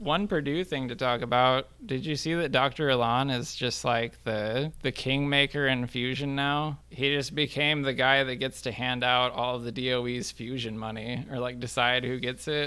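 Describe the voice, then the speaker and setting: On a very clean recording with a silent background, a man with a slight Wisconsin accent speaks at a moderate pace and medium pitch, with a bright, sharp tone, fairly even intonation and hardly any pauses. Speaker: podcast host, nuclear engineer. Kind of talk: casual interview chat.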